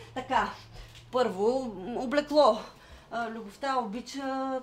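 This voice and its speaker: The woman's voice is high in pitch. Her intonation is fairly even. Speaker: actor. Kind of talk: dramatic monologue.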